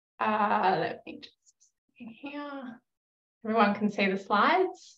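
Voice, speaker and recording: A woman with an Australian accent speaks at a fairly high pitch, her loudness swinging widely. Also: fairly slow pace. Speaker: researcher, yoga and meditation teacher. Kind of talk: academic conference presentation.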